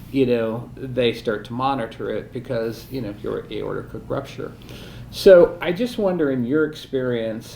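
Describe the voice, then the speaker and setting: With an ordinary speaking voice, a man talks at a moderate pace and medium pitch. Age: 60s. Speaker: interview host. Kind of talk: casual interview.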